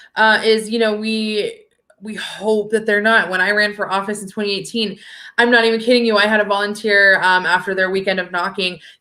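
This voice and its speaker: Loud and animated, a woman speaks fairly quickly in a bright, sharp tone at a fairly high pitch. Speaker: political activist. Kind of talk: casual chat.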